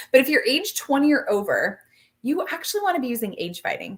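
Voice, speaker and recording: A woman speaks in an animated tone at a fairly quick pace. Her pitch swings very widely. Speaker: skincare sales consultant. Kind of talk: live product demo. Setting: live stream. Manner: fast.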